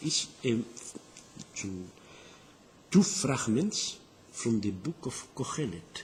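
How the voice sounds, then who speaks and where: Delivered at a very slow pace with a strong non-native accent, the speech has very wide pitch swings and long, frequent pauses. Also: man, medium pitch for a man. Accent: thick foreign. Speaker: Dead Sea Scrolls scholar. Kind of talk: interview answer. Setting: poor recording, boosted.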